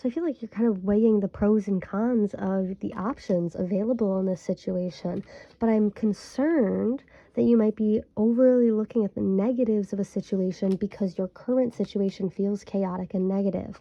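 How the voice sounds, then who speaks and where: A woman with an American accent speaks at medium pitch, showing ordinary pitch variation. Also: moderate pace. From Michigan. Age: 20s. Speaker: tarot reader. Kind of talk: tarot reading monologue. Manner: casual, hesitant with fillers.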